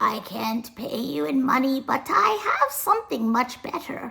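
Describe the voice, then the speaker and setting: Putting on a character voice, a woman speaks high and at a moderate pace, her pitch swinging very widely. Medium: read story. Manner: whispering, secretive.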